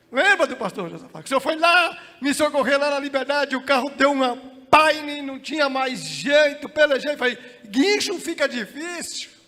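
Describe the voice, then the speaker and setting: A man's raised, projected voice, extremely high and shrill, with ordinary pitch variation, big swings in loudness, a moderate pace and noticeable background noise. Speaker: pastor. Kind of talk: sermon. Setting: church.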